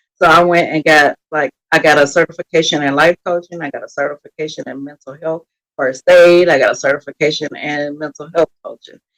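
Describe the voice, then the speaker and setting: A woman with a slight Texas accent talks at a fairly quick pace in a very deep, low voice with fairly even intonation. Her loudness swings widely, and the sound is dry and close with no echo. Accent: slight Texas country twang. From Texas, Beaumont. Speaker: mental health coach. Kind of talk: podcast interview.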